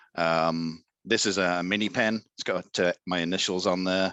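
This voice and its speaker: A man with an English accent speaks at a very deep, low pitch in a bright, sharp tone, the sound dry and close with no echo against a quiet background. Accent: English accent, noticeable. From England. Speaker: Etsy seller, 3D printing hobbyist. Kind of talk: casual interview.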